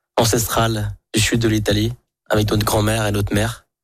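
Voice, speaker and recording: Over a silent background in a very clean recording, a man talks at a moderate pace in a fairly low pitch. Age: 20s. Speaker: chef and restaurant owner. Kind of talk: radio interview.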